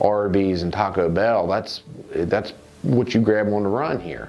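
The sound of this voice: A man with a low voice speaks at a fairly slow pace, his pitch varying in an ordinary way and his tone slightly mellow, with audible echo from the room.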